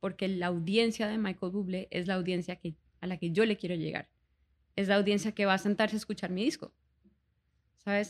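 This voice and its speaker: A woman with a plain, everyday voice, medium pitch, ordinary pitch variation and a moderate pace. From Colombia, Bogotá and Cartagena. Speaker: singer. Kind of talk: casual chat.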